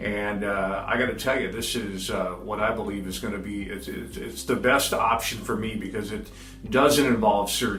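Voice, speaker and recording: With music in the background, a man speaks at a fairly low pitch. His pitch variation is ordinary, and the room echo is audible. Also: moderate pace. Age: 60s. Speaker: patient giving a testimonial, radio consumer reporter. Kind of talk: testimony. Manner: halting, many fillers.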